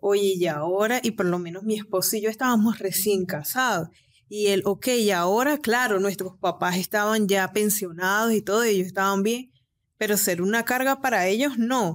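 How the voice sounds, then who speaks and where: In an unremarkable speaking voice, a woman talks at a moderate pace and medium pitch, with ordinary pitch variation and very even loudness. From Venezuela, Cabimas, Zulia state. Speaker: nail technician and entrepreneur. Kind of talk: interview.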